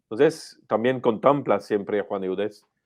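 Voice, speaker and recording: A man with a French accent, fairly low in pitch, at a fairly slow pace. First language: French (speaking Spanish). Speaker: priest, superior general of a religious congregation. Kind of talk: interview on theology. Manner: halting.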